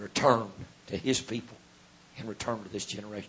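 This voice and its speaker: Speaking with an American accent, a man keeps a moderate tempo. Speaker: Pentecostal preacher. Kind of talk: sermon. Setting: church.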